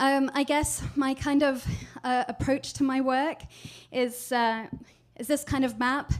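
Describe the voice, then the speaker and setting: A woman with a British accent and high pitch speaks at a fairly slow pace, with monotone, flat intonation and long, frequent pauses. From Scotland. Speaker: digital strategist. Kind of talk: presentation talk. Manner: hesitant, many fillers.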